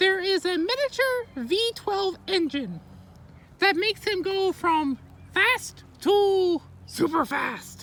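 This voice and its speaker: An extremely high-pitched, cartoonish character voice. It moves at a very slow pace. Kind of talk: comedic fake educational talk to camera. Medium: puppet. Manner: flamboyant, theatrical.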